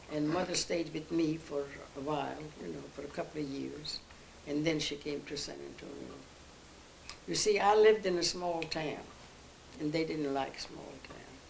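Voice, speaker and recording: A woman with a very deep, low pitch and ordinary pitch variation talks at a moderate pace, with big swings in loudness, long, frequent pauses and noticeable background noise. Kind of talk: interview answer.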